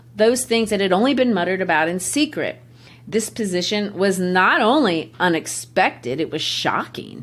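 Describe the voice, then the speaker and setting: Here a woman talks at a moderate pace. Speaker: literature teacher, podcast host. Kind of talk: podcast literary discussion.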